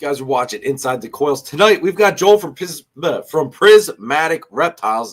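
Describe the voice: In a put-on character voice, a man speaks hoarse and raspy at a fairly high pitch and moderate pace, with big swings in loudness.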